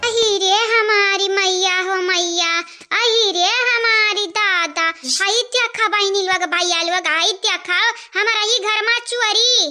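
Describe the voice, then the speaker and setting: A squeaky, cartoonish character voice moves at a fairly slow pace with fairly even intonation. Clear background noise runs underneath. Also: woman, extremely high pitch for a woman. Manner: loud, scolding.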